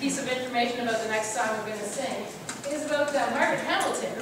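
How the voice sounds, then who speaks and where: Strong room echo and noticeable background noise surround a woman whose pitch varies in an ordinary way. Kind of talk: stage banter to audience. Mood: playful, chatty. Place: hall. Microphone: camera far.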